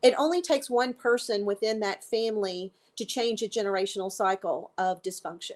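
A woman with a normal speaking voice, fairly high in pitch, with ordinary pitch variation and a fairly quick pace, on a very clean recording against a silent background. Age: 50s. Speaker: life coach for codependency. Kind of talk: interview about personal story.

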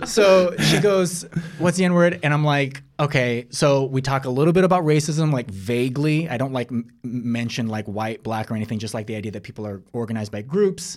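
A man with a General American accent speaks in an unremarkable speaking voice at a medium pitch. He moves at a fairly quick pace with lively intonation. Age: 40s. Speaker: screenwriter and actor. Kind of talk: casual chat.

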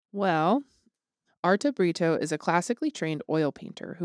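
With an unremarkable speaking voice, a woman talks at a fairly quick pace and a fairly low pitch, recorded very cleanly against a silent background with a dry, close sound and no echo. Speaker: podcast host. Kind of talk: casual chat.

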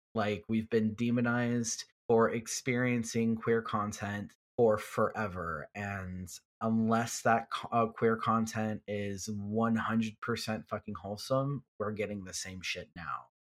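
On a very clean recording with a silent background, a man with an American accent speaks at a medium pitch. He has a plain, everyday voice, fairly even intonation and a fairly slow pace. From Texas, Houston. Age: 30s. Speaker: fan artist. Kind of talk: casual chat.

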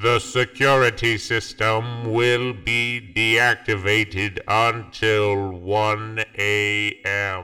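Over music in the background, a man speaks in a robotic, raspy voice with monotone, flat intonation. He goes at a very slow pace with hardly any pauses. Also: medium pitch for a man. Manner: cold, commanding.

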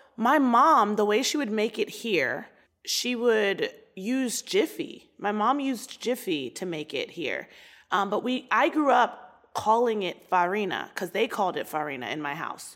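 With an American accent, a woman talks at a fairly slow pace in a fairly high voice with vocal fry and very wide pitch swings, on a very clean recording with a silent background. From US, Baltimore, Maryland. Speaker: comedian. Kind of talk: casual chat.

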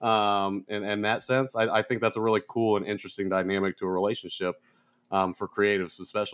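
On a very clean recording with a silent background, a man with an American accent talks very fast in a fairly low, flat monotone. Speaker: podcast co-host. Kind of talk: casual interview conversation.

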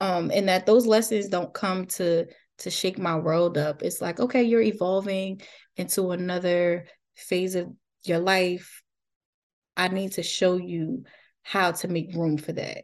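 Against a quiet background, a woman with a normal speaking voice talks at a fairly slow pace, her medium pitch carrying fairly even intonation. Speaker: postpartum doula. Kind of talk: casual interview.

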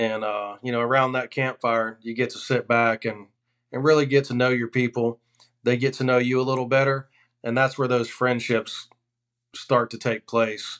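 A man at a medium pitch with an American accent, moderate pace, and monotone, flat intonation. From Florida. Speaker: hunting outfitter. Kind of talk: casual chat.

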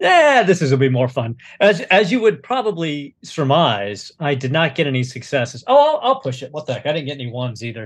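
A man speaks at a fairly high pitch with a slightly husky edge. His pitch makes big swings. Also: fairly quick pace.

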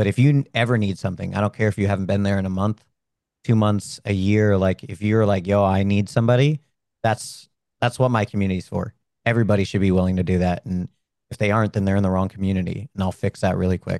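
Very fast speech with fairly even intonation comes through a dry, close sound with no echo and a quiet background. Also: man, fairly low pitch for a man. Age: 30s. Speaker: streamer and military veteran. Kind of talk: interview.

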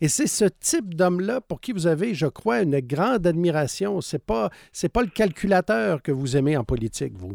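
A man's high voice with a Quebec accent, very wide pitch swings and hardly any pauses, in a very clean recording with a silent background and a dry, close sound with no echo. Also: moderate pace. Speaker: biographer and former journalist. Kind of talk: interview.

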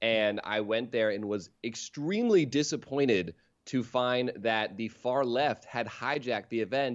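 A man's ordinary speaking voice, medium in pitch, at a fairly slow pace with ordinary pitch variation. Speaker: comedian. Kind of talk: casual chat.

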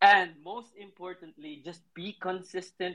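A man with a Filipino accent speaks at a very slow pace. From central Philippines. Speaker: graphic artist and designer. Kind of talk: casual interview. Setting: live online audio room. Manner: hesitant, many fillers.

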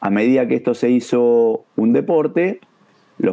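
A man speaks in a normal speaking voice at a medium pitch. His intonation is lively. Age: 50s. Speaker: taekwondo instructor. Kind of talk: educational discussion.

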